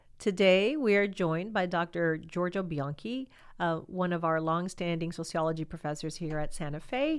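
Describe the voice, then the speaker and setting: On a very clean recording with a silent background, a woman in a plain, everyday voice speaks at a moderate pace in a medium pitch with ordinary pitch variation. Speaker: podcast host at a college. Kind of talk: interview conversation.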